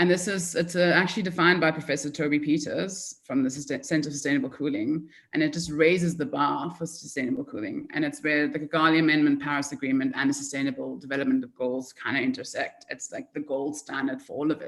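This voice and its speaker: Speaking fairly quickly, a woman uses a very deep, low pitch with ordinary variation. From South Africa. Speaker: market development manager. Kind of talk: conference presentation. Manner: fast.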